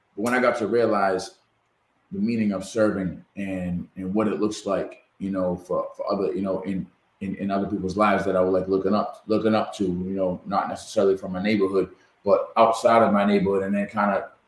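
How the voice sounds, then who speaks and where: A man's fairly low voice with a Massachusetts accent, delivered in a monotone with flat intonation. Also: fairly quick pace. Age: 40s. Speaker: podcast host. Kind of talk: interview.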